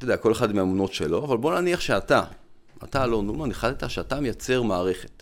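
This man's voice sits at a medium pitch with lively intonation. The recording is very clean, with a silent background. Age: 50s. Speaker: physician and lecturer. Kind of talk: interview conversation. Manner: explanatory.

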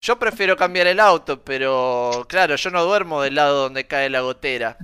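The voice has a bright, sharp tone and lively intonation at a fairly slow pace. It sounds dry and close with no echo, on a very clean recording with a silent background. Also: man. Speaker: podcast co-host. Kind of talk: casual chat. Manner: loud.

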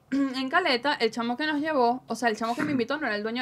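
A speaker with a Caracas Venezuelan accent talks at a very fast pace. Noticeable background noise sits behind the voice. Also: woman. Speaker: digital security trainer and radio announcer. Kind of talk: casual chat. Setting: studio.

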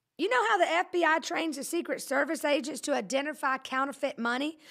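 A woman's high, bright, sharp voice with a Southern US accent, fairly quick and lively in intonation, in a very clean recording with a silent background. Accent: Southern US, countrified. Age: 40s. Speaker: pastor and podcast host. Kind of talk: casual live-streamed sermon-style chat. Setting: studio. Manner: animated, joking.

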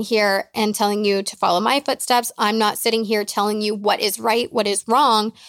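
Captured dry and close with no echo on a very clean recording with a silent background, a woman with a normal speaking voice talks at a moderate pace and fairly high pitch. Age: 20s. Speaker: podcast host and life coach. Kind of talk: casual solo Q&A.

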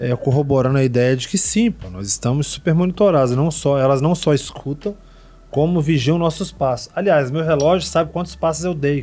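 A man with a fairly high pitch, a fairly quick pace, ordinary pitch variation and an ordinary speaking voice. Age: 40s. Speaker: Portuguese language teacher. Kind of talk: casual chat. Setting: studio.

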